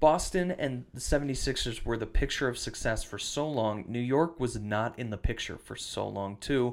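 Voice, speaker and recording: A man with a medium-pitched voice and an Upper Midwest accent, at a moderate pace with hardly any pauses and ordinary pitch variation, on a very clean recording with a silent background. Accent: Upper Midwest American. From western Wisconsin, US Upper Midwest. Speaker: podcast host. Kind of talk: casual chat.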